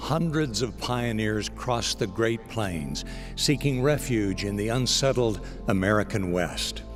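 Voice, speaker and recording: A man with a fairly low pitch, lively intonation and a calm, warm tone, music in the background. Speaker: radio broadcast announcer, inspirational spoken-word host. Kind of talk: inspirational devotional broadcast narration. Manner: calm, warm, measured.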